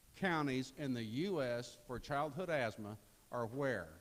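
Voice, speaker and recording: A man speaks. His intonation is lively. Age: 60s. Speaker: political candidate. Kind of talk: campaign speech.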